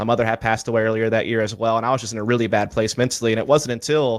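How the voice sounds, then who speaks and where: Very fast, monotone male speech at medium pitch, with a slight Southern US accent. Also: very clean recording, silent background. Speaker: esports commentator. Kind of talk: interview.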